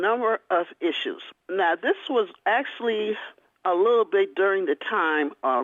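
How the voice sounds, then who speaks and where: A woman's unremarkable speaking voice at medium pitch and a fairly slow pace. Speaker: author and historian. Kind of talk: interview answer.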